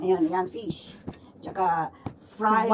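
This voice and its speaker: Fairly slow speech from a woman, light background noise behind her. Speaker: mukbang vlogger. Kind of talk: casual vlog chat. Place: home room. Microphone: phone near.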